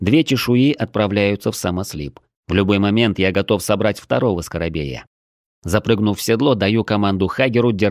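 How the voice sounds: Here is a natural reading voice with ordinary pitch variation. The background is quiet.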